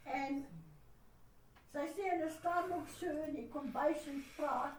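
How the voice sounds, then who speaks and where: Audible room echo surrounds a woman's high voice. She speaks at a fairly slow pace with fairly even intonation. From South Africa. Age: 80s+. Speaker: grandmother. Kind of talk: casual chat.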